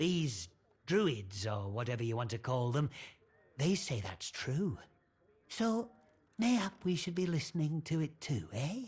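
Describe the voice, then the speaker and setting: A gruff, put-on character voice in a northern English accent, with low-to-middle pitch and very wide pitch swings. The pace is fairly slow, with long, frequent pauses. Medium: video game. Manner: gruff, suspicious.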